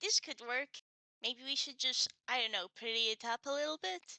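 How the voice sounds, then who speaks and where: Putting on a character voice, a woman speaks at a high pitch and a moderate pace. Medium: actual play. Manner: cheery, eager.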